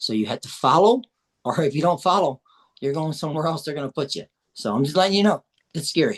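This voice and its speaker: A man with a fairly high pitch and lively intonation talks at a very fast pace, broken by long, frequent pauses. The sound is dry and close, with no echo. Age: 60s. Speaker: psychic medium. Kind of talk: interview. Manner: halting.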